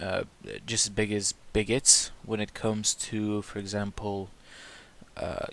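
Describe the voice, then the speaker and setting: In a non-native accent, the speaker talks fairly slowly in a flat monotone on a very clean recording with a silent background. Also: man. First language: not English. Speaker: YouTuber discussing religion and social issues. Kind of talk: opinion monologue. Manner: hesitant, with fillers.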